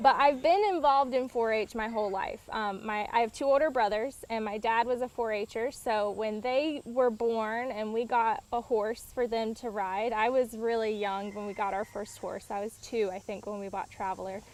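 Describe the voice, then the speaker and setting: A woman with a plain, everyday voice speaks at a moderate pace in a fairly high pitch, with hardly any pauses. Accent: American. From Eastern North Carolina. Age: 20s. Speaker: horse pageant queen. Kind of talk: interview. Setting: outdoors on a farm.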